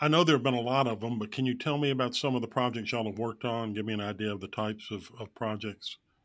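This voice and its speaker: A man speaks at a very fast pace with hardly any pauses. His pitch is medium. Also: fairly even intonation. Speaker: podcast host. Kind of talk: interview, host questions.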